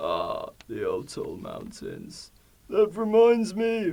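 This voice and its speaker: Using a put-on character voice, a man speaks with high pitch. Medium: stage play. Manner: warm, enthusiastic storyteller.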